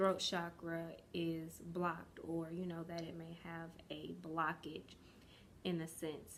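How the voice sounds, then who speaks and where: In a room with audible echo, a woman speaks very slowly with monotone, flat intonation. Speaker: yoga and wellness vlogger. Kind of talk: casual vlog talk. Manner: hesitant, many fillers.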